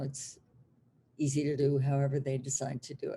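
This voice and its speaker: A woman talks at a very fast pace in a very deep, low voice that is somewhat breathy, with a dark, mellow tone and monotone, flat intonation. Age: 70s. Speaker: hypnotherapist. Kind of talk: interview.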